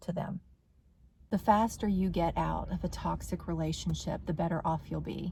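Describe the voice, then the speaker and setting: A woman speaks at a moderate pace with a fairly low pitch. Her tone is dark and mellow, and somewhat breathy. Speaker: video blogger. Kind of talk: personal testimony monologue. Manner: halting.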